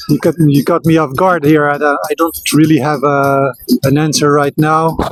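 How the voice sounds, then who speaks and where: Over music in the background, a man with a French accent speaks at a fairly high pitch in a flat monotone, his loudness very even and the sound dry and close with no echo. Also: moderate pace. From Belgium. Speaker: street interviewee. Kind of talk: street interview. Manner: halting.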